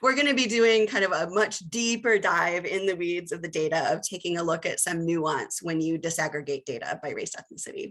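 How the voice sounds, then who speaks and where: At a fairly quick clip comes an ordinary speaking voice. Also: woman, fairly low pitch for a woman, lively intonation, hardly any pauses. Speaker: researcher and presenter. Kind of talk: webinar presentation. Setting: video call.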